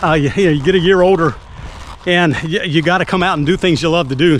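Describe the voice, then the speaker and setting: A man with a high pitch and ordinary pitch variation at a moderate pace, over noticeable background noise. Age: 60s. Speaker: skateboarding vlogger. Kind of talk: casual vlog commentary. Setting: outdoors at a skatepark. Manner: casual, hesitant with many fillers.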